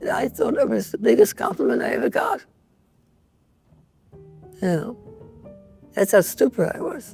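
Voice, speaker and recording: A woman with a New York accent at a moderate pace, long, frequent pauses, and music in the background. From New York (Bronx). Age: 80s+. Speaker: painter. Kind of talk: interview answer.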